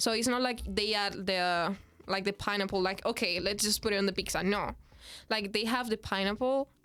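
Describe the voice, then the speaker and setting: A woman talks with a Spanish accent and fairly even intonation. The recording is very clean, with a silent background. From Dominican Republic. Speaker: international student. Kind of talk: podcast interview answer. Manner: casual, chatty.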